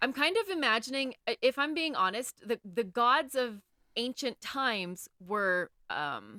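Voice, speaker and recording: Speaking with an American accent at a fairly slow pace, the voice has a bright, sharp tone and very wide pitch swings in a dry, close sound with no echo. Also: woman, high pitch for a woman. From United States. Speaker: podcast co-host. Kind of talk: casual chat.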